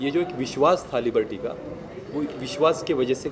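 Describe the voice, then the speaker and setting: Against noticeable background noise, a man talks in a Marathi accent. His voice is fairly high and his pace moderate. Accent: Marathi accent in Hindi. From Maharashtra, Bhor near Pune. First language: Marathi (speaking Hindi). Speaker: actor. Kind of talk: press event interview.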